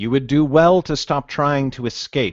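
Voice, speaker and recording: This man uses a put-on character voice, growling at a fairly high pitch. His pitch varies in an ordinary way, and his pace is moderate. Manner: menacing.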